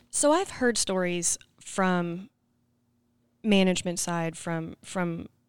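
A woman with an Arkansas accent and fairly low pitch on a very clean recording with a silent background. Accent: Southern US (Arkansas). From Arkansas (Scranton). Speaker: podcast host, cooperative communications staff. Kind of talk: interview.

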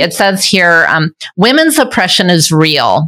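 This woman's voice sits at medium pitch with a bright, sharp tone. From Michigan, US. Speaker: podcast host. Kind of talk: interview.

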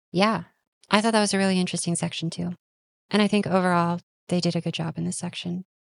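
A woman talks at a very fast pace yet leaves long, frequent pauses, her fairly low voice monotone and flat. The sound is dry and close with no echo. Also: quiet background. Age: 20s. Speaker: podcast host. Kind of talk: casual chat.

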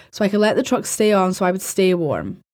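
Someone with a British accent and a dark, mellow tone talks at a very fast pace on a very clean recording with a silent background. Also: woman. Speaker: podcast host. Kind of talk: horror story narration, reading reader-submitted first-person night shift tales aloud. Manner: casual, chatty, sometimes giggly, sweary banter in intro.

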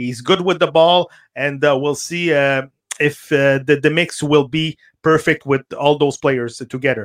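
A man with a Quebec accent speaks at a fairly slow pace, his fairly high voice keeping a fairly even intonation. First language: French. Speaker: soccer radio host. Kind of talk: casual chat. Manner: halting.

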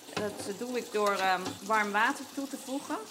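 A woman with a fairly high pitch, ordinary pitch variation and a fairly slow pace. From Netherlands, Nijmegen. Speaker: home baker. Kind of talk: casual chat. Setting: kitchen at home.

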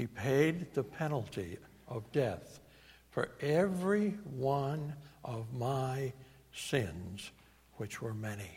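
A man speaks at a medium pitch with a New England accent. His intonation is lively and his voice somewhat breathy. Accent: New England American. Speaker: preacher. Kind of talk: sermon. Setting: church.

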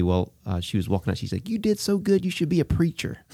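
A man talks with a Southern US accent. His tone is dark and mellow. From Alabama. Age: 40s. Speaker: pastor. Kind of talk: casual interview.

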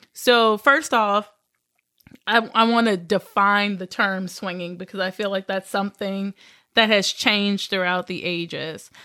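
A woman with a slight Southern US accent, medium pitch and a bright, sharp, animated tone, at a fairly slow pace, with a dry, close sound with no echo on a very clean recording with a silent background. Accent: little Southern. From Southern Louisiana. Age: 20s. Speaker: podcast co-host. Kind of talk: casual chat. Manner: animated, laughing often.

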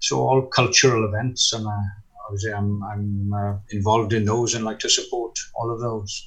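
Speaking at a moderate pace, a man with a South Wales accent keeps a medium pitch and fairly even intonation. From Wales, Gower near Swansea. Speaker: minister. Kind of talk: interview. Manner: hesitant.

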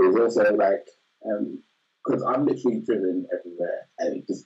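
Someone speaks at a fairly slow pace in a Birmingham accent. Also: man. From Birmingham, England. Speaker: high school math teacher. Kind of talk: casual interview.

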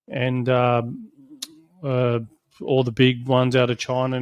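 A man talks in an Australian accent at a medium pitch. His intonation is monotone and flat. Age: 30s. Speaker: solar company CEO. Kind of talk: product review. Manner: casual, hesitant with fillers.

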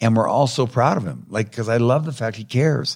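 On a very clean recording with a silent background, a man of medium pitch speaks at a fairly quick pace, his lively intonation edged with vocal fry. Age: 70s. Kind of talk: casual chat.

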